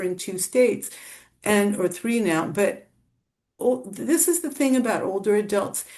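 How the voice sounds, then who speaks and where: Her tone dark and mellow, a woman speaks at a moderate pace with a fairly high pitch. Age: 60s. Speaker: author. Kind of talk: interview.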